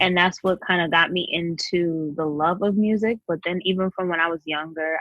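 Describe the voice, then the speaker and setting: At a moderate pace, a woman talks with a New York accent and a fairly low pitch. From Queens, New York. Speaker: singer-songwriter. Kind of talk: interview.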